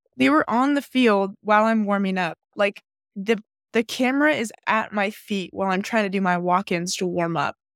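This woman has an ordinary speaking voice at a medium pitch, with ordinary pitch variation and a moderate pace, heard in a very clean, dry, close recording with no echo and a silent background. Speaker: podcast co-host, former softball pitcher, psychology student. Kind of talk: casual chat.

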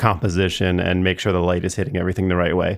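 A man with an American accent speaks at very deep, low pitch. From US, southern New Jersey. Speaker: podcast host. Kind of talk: casual chat. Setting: studio.

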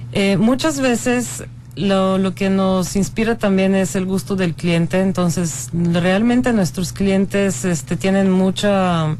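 A woman at medium pitch for a woman, very slow pace, lively intonation, very even loudness, hardly any pauses, and noticeable background noise. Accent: Bulgarian. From Bulgaria. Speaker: architect. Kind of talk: radio interview. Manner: halting.

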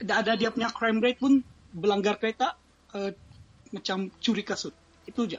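A man talks at a moderate pace with long, frequent pauses. His pitch is high, with ordinary variation. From Sabah, Malaysia (Ranau). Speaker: Malaysian living abroad. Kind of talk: casual interview. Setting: live audio stream.

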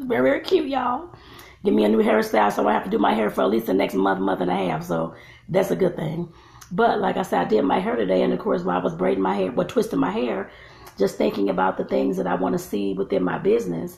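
A woman rushes along at a very fast pace while noticeable noise fills the background. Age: 40s. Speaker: vlogger and life coach. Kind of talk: casual vlog monologue. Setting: at home filming while braiding hair. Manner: chatty, with filler words.

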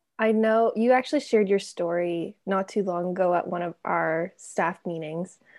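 A woman with a normal speaking voice at medium pitch, moderate pace, ordinary pitch variation and hardly any pauses, on a very clean recording with a silent background. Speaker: podcast host. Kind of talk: casual interview chat.

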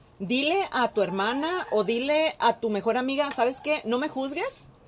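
A woman with a Mexican accent speaks at a high pitch. Her intonation is lively. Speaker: podcast host. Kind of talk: casual chat.

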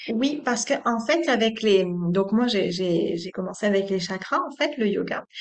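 Using an ordinary speaking voice, a woman talks at a fairly slow pace with hardly any pauses, her fairly high pitch carried by lively intonation. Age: 30s. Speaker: yoga teacher. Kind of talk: interview.

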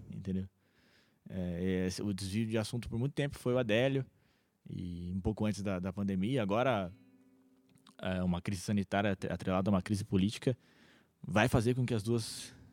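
Against music in the background, a man with a fairly low pitch and ordinary pitch variation speaks with long, frequent pauses. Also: moderate pace. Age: 20s. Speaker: podcast host. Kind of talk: casual chat.

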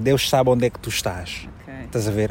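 A man with an Angolan accent talks at a moderate pace against noticeable background noise. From Angola, Malanje province. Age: 30s. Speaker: journalist and TV presenter. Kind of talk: interview.

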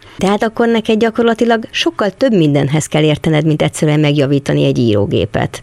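A woman with a very deep, low pitch and vocal fry swings her pitch very widely, keeping her loudness very even. She talks at a very fast pace with hardly any pauses, in a dry, close sound with no echo. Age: 60s. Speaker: podcast interviewer. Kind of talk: interview. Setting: small workshop.

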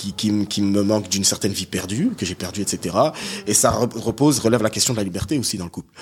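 At a fairly quick pace, a man speaks at a fairly low pitch with ordinary pitch variation. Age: young. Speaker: podcast guest. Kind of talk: casual chat.

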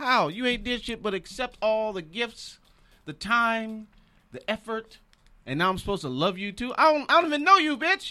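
A man raises and projects his voice, its pitch high and its tone bright and sharp. The recording is very clean with a silent background. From Michigan, Detroit. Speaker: comedian. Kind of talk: casual chat.

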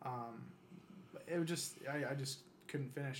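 Somewhat breathy male speech at medium pitch with fairly even intonation. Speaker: aspiring actor and writer. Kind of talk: casual chat.

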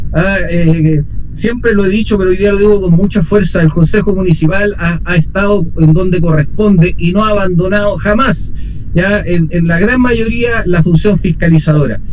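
Ordinary pitch variation and very even loudness at a moderate pace, with audible room echo and noticeable background noise. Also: man. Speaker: city councillor. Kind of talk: radio interview.

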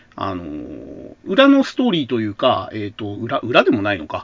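A man talks in a relaxed tone. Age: 40s. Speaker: podcast host. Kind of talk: solo monologue about retro TV shows. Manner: relaxed, many filler sounds.

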